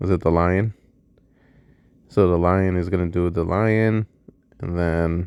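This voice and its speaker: Very deep and low, a man's voice moves at a fairly slow pace with monotone, flat intonation and long, frequent pauses. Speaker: gaming youtuber. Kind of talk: game walkthrough commentary. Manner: casual, thinking aloud.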